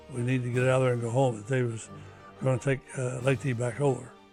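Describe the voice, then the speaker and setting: Over music in the background, a man of medium pitch speaks with fairly even intonation. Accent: American. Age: 80s+. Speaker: war veteran. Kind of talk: interview answer. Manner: hesitant, many fillers.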